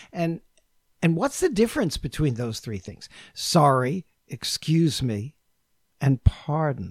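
A man's fairly high, somewhat breathy voice with an American accent, lively intonation and big swings in loudness, at a very slow pace with long, frequent pauses, recorded dry and close with no echo. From New York. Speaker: intercultural consultant. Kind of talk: casual chat.

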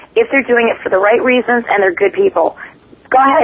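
There is noticeable background noise behind this woman. Her voice is fairly high in pitch, with lively intonation. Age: 30s. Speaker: paranormal investigator. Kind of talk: interview conversation.

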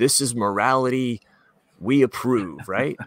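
A man with an American accent speaks at a fairly slow pace in a plain, everyday voice. His pitch is medium, with ordinary variation. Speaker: podcast co-host. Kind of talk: casual chat. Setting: remote recording.

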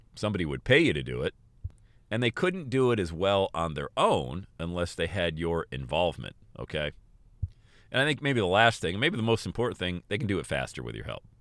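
Speaking at a fairly quick pace, a man with a very deep, low pitch and vocal fry sounds animated, his pitch swinging very widely. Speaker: podcast host and motivational speaker. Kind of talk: motivational solo monologue. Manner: fast talker; animated, motivational.

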